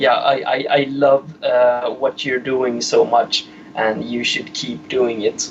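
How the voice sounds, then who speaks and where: Noticeable background noise runs under this recording. The speaker has a non-native accent and talks at a very slow pace with ordinary pitch variation. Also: man, medium pitch for a man. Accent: foreign. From Sweden. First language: Swedish. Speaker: caller. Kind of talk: phone call to live show. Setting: phone call. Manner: halting.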